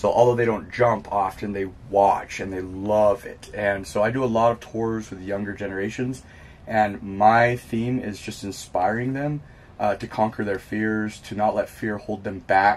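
A man talks at a moderate pace and a fairly low pitch. His intonation stays fairly even. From California. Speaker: professional base jumper; interviewee. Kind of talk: interview. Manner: hesitant, many fillers. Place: home room.

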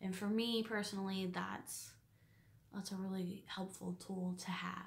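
A woman speaks fairly slowly in a monotone, flat intonation, her loudness very even. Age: 20s. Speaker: quilting vlogger; quilting hobbyist vlogger. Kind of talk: casual vlog monologue; casual vlog chat. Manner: hesitant, many fillers. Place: home room. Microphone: phone near.

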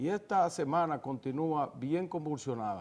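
A man with an ordinary speaking voice, fairly high in pitch, at a fairly slow pace with ordinary pitch variation. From Dominican Republic. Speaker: TV news talk show host; TV show host. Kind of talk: political interview; news commentary. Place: studio. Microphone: lapel.

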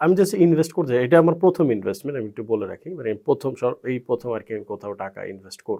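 This man's voice sits fairly high and swings very widely in pitch. His loudness also rises and falls in big swings. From Bangladesh, Barishal. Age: 30s. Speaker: freelancer. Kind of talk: casual chat. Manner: halting.

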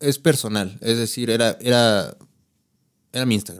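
A man with a Mexico City accent talks at a fairly slow pace against a quiet background. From Mexico City (Iztapalapa), later San Luis Potosí. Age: 30s. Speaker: content creator and guitarist; content creator. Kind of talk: casual chat. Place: studio. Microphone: studio mic.

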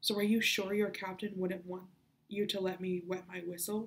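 The delivery is a natural reading voice.

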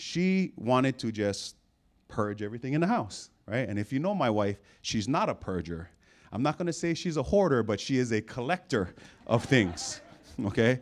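Animated in tone, a man speaks at a moderate pace with very wide pitch swings. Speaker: football coach and preacher. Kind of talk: sermon. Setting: church stage with audience. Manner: call-and-response, coach-like. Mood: humorous, storytelling. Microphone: handheld.

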